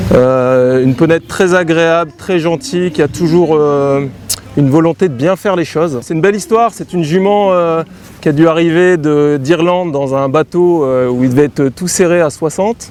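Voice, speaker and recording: This man's voice is fairly high. Noticeable background noise accompanies it. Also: ordinary pitch variation, moderate pace. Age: 40s. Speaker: show jumping rider. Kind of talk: interview. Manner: halting, many fillers.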